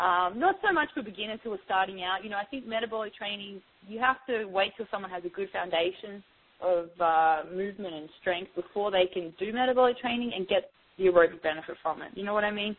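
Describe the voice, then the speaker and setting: A woman with an Australian accent speaks very fast at a medium pitch. Her pitch varies in an ordinary way, while her loudness swings widely. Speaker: fitness trainer. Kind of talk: interview; workout instruction. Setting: phone call.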